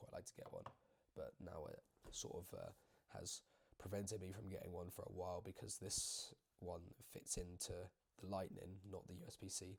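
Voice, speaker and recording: A man speaks in a British accent. His pace is moderate. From UK. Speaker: YouTuber. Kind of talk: casual chat. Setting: home video recording. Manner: rambling, filler-heavy casual talk.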